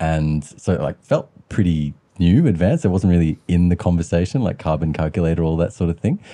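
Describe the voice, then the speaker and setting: With an Australian accent, a man speaks at a fairly quick pace in a very deep, low pitch, his dark, mellow tone carrying ordinary pitch variation. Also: hardly any pauses. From Western Sydney, Australia. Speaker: podcast host. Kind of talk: interview.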